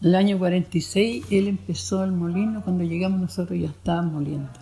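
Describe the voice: A woman speaks at a fairly quick pace with vocal fry, a dark, mellow tone and a fairly low pitch. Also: fairly even intonation.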